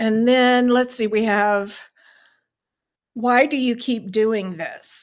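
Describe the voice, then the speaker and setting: A woman's fairly high voice at a very slow pace, with long, frequent pauses, on a very clean recording with a silent background. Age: 60s. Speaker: beading teacher and small business owner. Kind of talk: solo podcast talk answering questions. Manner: conversational with fillers.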